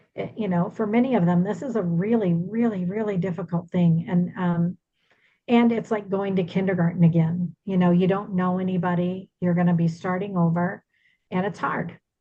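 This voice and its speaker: A somewhat breathy woman's voice, dark and mellow in tone, medium in pitch, at a moderate pace with fairly even intonation. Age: 60s. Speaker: relocation business owner. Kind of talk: presentation to a business group.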